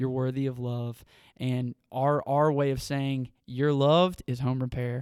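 With a Southern US accent, a man talks at a fairly slow pace, his medium-pitched voice monotone and flat. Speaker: nonprofit staff member. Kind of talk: casual interview.

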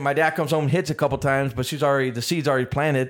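The recording is very clean with a silent background. A man talks at a very fast pace. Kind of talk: casual chat. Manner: casual, profane.

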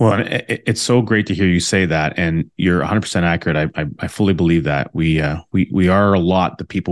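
A man with a Canadian accent and a very deep, low pitch, at a very fast pace with ordinary pitch variation, against a quiet background. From Alberta, Canada. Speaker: infinite banking advisor, former realtor. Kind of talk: interview. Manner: hesitant, many fillers.

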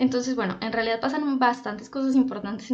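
The voice is somewhat breathy, with audible room echo. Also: woman. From Colombia, Popayán (Cauca). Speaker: podcast co-host, journalist. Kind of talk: casual chat. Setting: studio.

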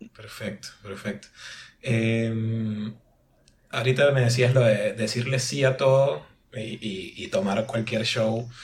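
At a very slow pace, the voice comes out somewhat breathy with fairly even intonation. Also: man, medium pitch for a man. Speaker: podcast host. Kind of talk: casual chat.

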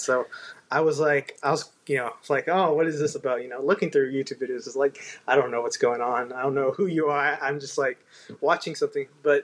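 Fairly even in intonation and fairly high in pitch, this man has a normal speaking voice. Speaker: podcast host.

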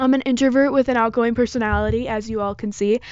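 Speaking in a monotone, flat way at a fairly quick pace, a woman talks with an American accent. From Michigan, US. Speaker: podcaster. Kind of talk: casual monologue.

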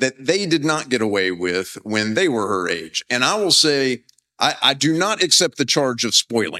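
A man's medium-pitched voice with a bright, sharp tone at a moderate pace, very wide pitch swings, and a dry, close sound with no echo in a very clean recording over a silent background. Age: 40s. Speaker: professor and preacher. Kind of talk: sermon. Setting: chapel with live audience.

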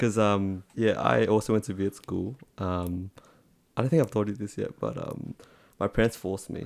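An Australian accent at a moderate pace, with ordinary pitch variation. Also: man, fairly low pitch for a man. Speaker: podcast co-host. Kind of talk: casual chat. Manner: casual, friendly.

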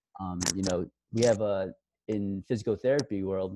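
A man with an American accent speaks at a moderate pace in a dark, mellow tone, his intonation fairly even. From Queens, New York. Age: 20s. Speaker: physical therapist. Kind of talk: casual interview.

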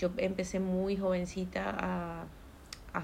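Very slow speech from a woman, plus audible room echo. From Maracaibo, Venezuela. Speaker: entrepreneur. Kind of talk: casual chat.

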